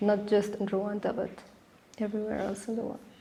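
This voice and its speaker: A woman's medium-pitched, somewhat breathy voice with a dark, mellow tone. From Sudan. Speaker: architecture student. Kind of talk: interview. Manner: halting.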